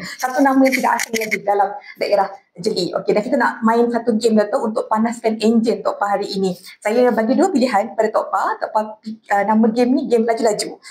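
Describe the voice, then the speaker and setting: A woman speaks at a fairly quick pace in a fairly high pitch. Her intonation stays fairly even, and her loudness is very even. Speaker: podcast host. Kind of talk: casual interview. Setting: live podcast at a festival. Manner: fast.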